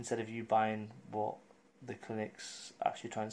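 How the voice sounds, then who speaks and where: A man speaks with an English accent. His pace is fairly quick. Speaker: vlogger. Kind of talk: casual vlog update. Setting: at home. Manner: monotone.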